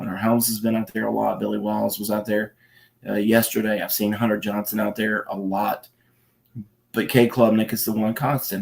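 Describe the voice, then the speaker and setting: Quiet, flat monotone delivery at a fairly quick pace. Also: man. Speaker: college football reporter. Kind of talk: live stream Q&A talk. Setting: at home at night, kids asleep. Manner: speaking quietly; hesitant, many fillers.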